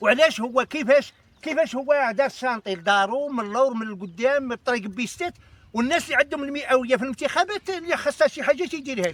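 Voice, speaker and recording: An extremely high-pitched man talks at a fairly quick pace, with lively intonation and big swings in loudness. The sound is dry and close, with no echo. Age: 60s. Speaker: local resident. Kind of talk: street interview. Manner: halting.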